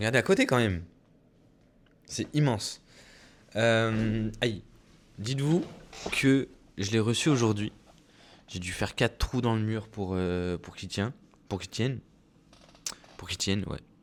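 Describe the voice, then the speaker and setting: The speech has long, frequent pauses, ordinary pitch variation and big swings in loudness. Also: man, medium pitch for a man, fairly slow pace. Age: 20s. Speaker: vlogger and clothing brand founder. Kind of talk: casual vlog monologue. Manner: hesitant, many fillers.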